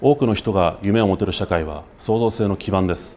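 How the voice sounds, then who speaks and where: A man's fairly low voice at a moderate pace over light background noise. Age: 30s. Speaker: political candidate; candidate. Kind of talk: campaign speech. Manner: formal. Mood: earnest, formal. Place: studio.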